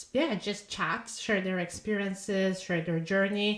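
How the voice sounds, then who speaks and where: Against noticeable background noise, a woman speaks with a non-native accent. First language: Polish. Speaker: podcast host and author. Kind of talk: casual podcast monologue. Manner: halting, with fillers and repeated words.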